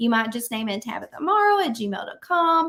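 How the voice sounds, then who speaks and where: In a very clean recording with a silent background, a woman with a Southern accent speaks at a moderate pace. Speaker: business coach. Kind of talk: tutorial. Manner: casual, with frequent fillers.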